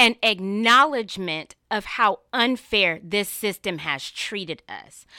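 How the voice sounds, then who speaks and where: A woman with an American accent speaks very slowly with hardly any pauses, her medium-pitched, bright, sharp voice showing lively intonation and big swings in loudness on a very clean recording with a silent background. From North Carolina. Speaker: attorney and political candidate. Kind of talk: interview.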